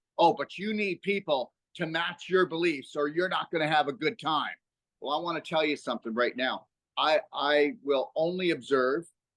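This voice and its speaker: This man's voice sits fairly high, with ordinary pitch variation and an animated tone at a moderate pace. The sound is dry and close with no echo, over a quiet background. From Canada. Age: 60s. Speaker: health educator and author. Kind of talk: podcast interview. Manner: halting with fillers.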